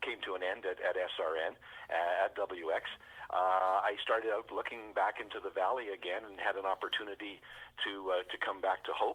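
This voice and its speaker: A man with a Western Canadian accent at a fairly quick pace. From British Columbia, Canada. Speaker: fire chief, former radio broadcaster. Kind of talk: interview answer.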